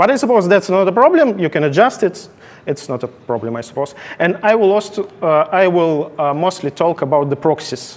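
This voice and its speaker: A man speaks with a non-native accent and a high pitch. His intonation is lively and his pace fairly quick. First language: not English. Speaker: conference speaker, software engineer. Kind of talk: technical conference talk. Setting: stage with audience. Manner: halting.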